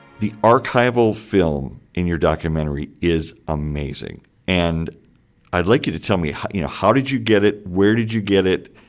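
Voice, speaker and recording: With an American accent, a man talks in a very deep, low pitch and lively intonation. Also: moderate pace. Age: 50s. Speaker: podcast host. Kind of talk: interview; scripted narration.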